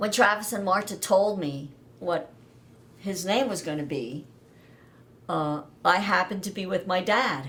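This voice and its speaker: Speaking fairly slowly, a woman uses a medium pitch with lively intonation. She leaves long, frequent pauses. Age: 60s. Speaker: daughter of a navy veteran. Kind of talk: interview about family history.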